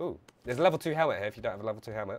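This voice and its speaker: Light noise sits behind a man's voice. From England, London. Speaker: gaming streamer. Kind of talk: live gameplay stream commentary. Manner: animated. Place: home room. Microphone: headset.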